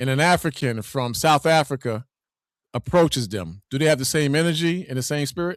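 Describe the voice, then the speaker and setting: A man with a fairly high pitch and ordinary pitch variation talks at a fairly quick pace, recorded very cleanly with a silent background and a dry, close sound with no echo. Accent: Brooklyn. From New York City (Brooklyn). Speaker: debate participant. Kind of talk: heated debate.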